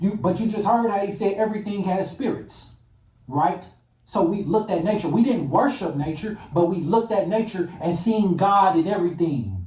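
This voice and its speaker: A man's high-pitched, animated voice in a room with audible echo. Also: ordinary pitch variation, moderate pace. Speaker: YouTuber commentator. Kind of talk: reaction rant.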